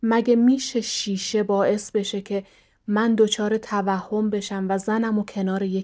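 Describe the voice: This is plain reading aloud. The words are read out plainly.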